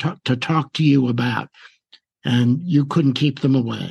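Speaking in a plain, everyday voice, this man sounds fairly high-pitched, his intonation fairly even. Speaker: radio host. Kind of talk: interview.

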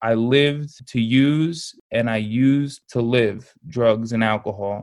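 On a very clean recording with a silent background, a man with an American accent and a normal speaking voice talks at a medium pitch with fairly even intonation. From upstate New York. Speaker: clinical social worker and school director. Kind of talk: personal testimony in interview.

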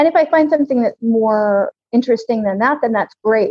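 A woman with ordinary pitch variation has an unremarkable speaking voice. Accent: American. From US, California. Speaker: serial expat, English teacher. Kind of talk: casual interview.

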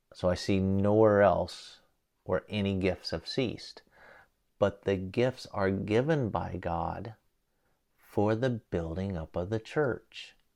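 A man with a fairly low voice and ordinary pitch variation speaks at a very slow pace. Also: quiet background. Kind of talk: sermon-like Bible teaching monologue. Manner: informal, conversational, with filler words.

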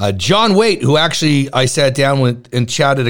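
The speaker talks at a moderate pace with a Canadian accent. The tone is animated and the intonation lively. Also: man. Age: 50s. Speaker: radio host. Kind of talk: interview.

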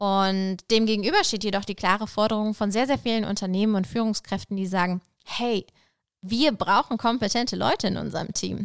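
A plain, everyday voice from a woman, fairly quick and fairly even in intonation, on a very clean, dry, close recording with no echo and a silent background. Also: medium pitch for a woman. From Lower Saxony, northern Germany. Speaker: podcast host. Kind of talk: podcast intro monologue.

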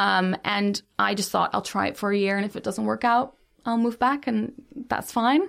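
Speaking at a moderate pace with a Dutch accent, a woman of medium pitch keeps a fairly even intonation. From Netherlands. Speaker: YouTuber and digital producer. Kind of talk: interview conversation.

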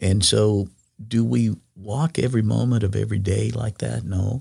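In a very clean recording with a silent background, a man with an American accent speaks at a fairly low pitch and fairly slow pace, his dark, mellow tone somewhat breathy and his intonation lively. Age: 60s. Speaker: former pastor. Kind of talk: faith testimony interview.

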